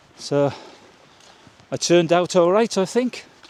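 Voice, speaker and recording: Speaking with a British accent, a man has a high pitch and ordinary pitch variation. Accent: British regional. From UK, rural village. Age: 60s. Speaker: vlogger. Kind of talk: casual vlog monologue. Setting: outdoors, walking through village; at home indoors.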